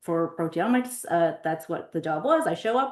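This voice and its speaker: A woman speaks with lively intonation. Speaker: PhD candidate archaeological scientist. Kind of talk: academic seminar talk. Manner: hesitant with many fillers.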